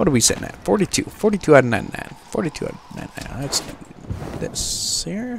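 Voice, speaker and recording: Talking at a fairly slow pace, a man with a high pitch makes very wide pitch swings and big jumps in loudness, with noticeable background noise behind him. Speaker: gaming YouTuber. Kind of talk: casual gameplay commentary. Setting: home recording, voiceover on gameplay. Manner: casual, low-energy, chatty.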